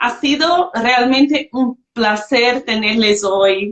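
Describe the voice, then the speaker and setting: A woman's high-pitched voice with a non-native accent and ordinary pitch variation. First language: not Spanish (speaking Spanish). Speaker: livestream host. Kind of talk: online panel discussion.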